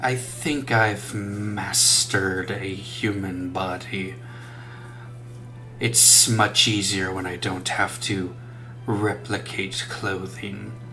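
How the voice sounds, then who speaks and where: Clear background noise sits behind a man doing a put-on character voice. He speaks at a very slow pace and a fairly low pitch. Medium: actual play. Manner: formal, proud.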